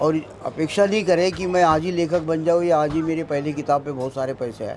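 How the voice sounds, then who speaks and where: Over noticeable background noise, a man talks with fairly even intonation at a fairly high pitch. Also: moderate pace. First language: Marathi (speaking Hindi). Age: 70s. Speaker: author and tea stall owner. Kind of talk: interview.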